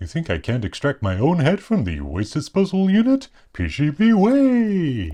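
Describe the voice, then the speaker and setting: Against a quiet background, a man uses a put-on character voice at a fairly high pitch and a moderate pace. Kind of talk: formal, stiff. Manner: prim, fussy.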